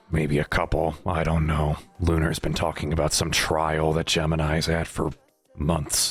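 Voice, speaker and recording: A man's raspy put-on character voice, very deep and low in pitch, monotone and flat, at a moderate pace. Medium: machinima. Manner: terse, guarded, short answers.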